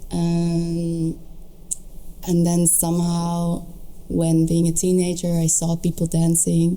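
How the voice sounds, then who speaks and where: Speaking at a very slow pace with long, frequent pauses, a woman with a fairly low pitch keeps a monotone, flat intonation, very even loudness and a dark, mellow tone. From Netherlands, Tilburg. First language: Dutch. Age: 30s. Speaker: dancer. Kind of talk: casual chat.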